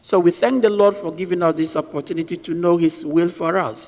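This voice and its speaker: Noticeable background noise sits behind a man with a high pitch, who speaks at a moderate pace with lively intonation. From Nigeria. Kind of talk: sermon.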